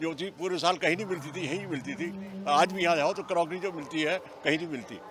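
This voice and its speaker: A man with a high-pitched voice speaks at a moderate pace, with hardly any pauses and fairly even intonation. Noticeable background noise runs underneath. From Meerut. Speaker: fair visitor. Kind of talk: vox pop interview.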